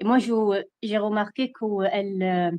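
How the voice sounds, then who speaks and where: Speaking at a very slow pace, a woman with a strong Iraqi accent keeps a monotone, flat intonation. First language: Arabic (speaking French). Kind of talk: testimony. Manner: halting, many hesitations.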